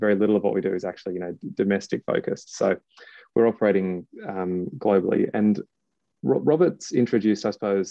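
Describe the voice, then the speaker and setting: Someone talks at a very fast pace in an Australian accent. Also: man. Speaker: litigation funder, former lawyer. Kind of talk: webinar presentation. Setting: online webinar. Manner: repetitive, stumbling.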